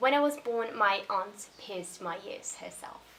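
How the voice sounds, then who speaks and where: A woman speaks in a space with audible room echo and noticeable background noise. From Brazil. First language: Portuguese. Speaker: YouTuber. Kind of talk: casual vlog monologue.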